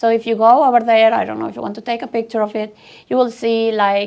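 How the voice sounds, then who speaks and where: A woman's fairly high, monotone, flat voice in a Venezuelan accent. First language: Spanish. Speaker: tech speaker. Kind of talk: conference talk.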